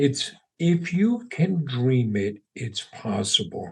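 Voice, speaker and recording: A man with an American accent speaks with lively intonation. His voice is somewhat breathy. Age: 60s. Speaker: entrepreneur. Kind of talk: podcast interview.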